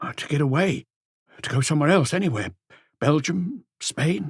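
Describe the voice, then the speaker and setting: A man's put-on character voice, raspy and anxious in tone, fairly high in pitch, with lively intonation at a moderate pace. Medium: read story. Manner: anxious, suspicious, hesitant.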